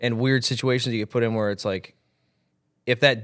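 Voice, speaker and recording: A man's medium-pitched voice with an American accent, fairly even intonation and a moderate pace. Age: 20s. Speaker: country singer. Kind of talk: interview.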